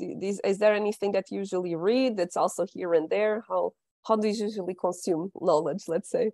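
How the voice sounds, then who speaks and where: At a moderate pace, a woman speaks in a medium pitch with a dark, mellow tone and ordinary pitch variation over a quiet background. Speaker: business development director hosting interviews. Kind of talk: casual interview. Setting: video call. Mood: friendly, upbeat. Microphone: earbuds.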